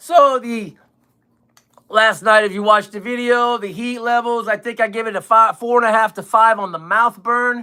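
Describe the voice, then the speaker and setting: A man projects a raised voice at a high pitch. He keeps a moderate pace on a very clean recording with a silent background. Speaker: hot sauce chug livestreamer. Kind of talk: casual livestream chat. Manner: loud; halting.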